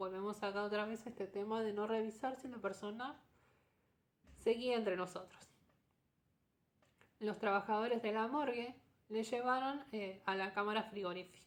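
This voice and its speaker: A woman with a fairly high pitch talks at a moderate pace with fairly even intonation. Her speech has long, frequent pauses. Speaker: storytelling podcast host. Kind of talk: storytelling narration. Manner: conversational with asides.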